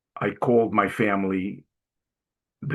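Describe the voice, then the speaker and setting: This man speaks with a Brooklyn accent. His pitch is fairly low. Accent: New York (Brooklyn). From Brooklyn, New York. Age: 60s. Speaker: Navy veteran and inspirational speaker. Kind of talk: testimony. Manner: casual storytelling with hesitations.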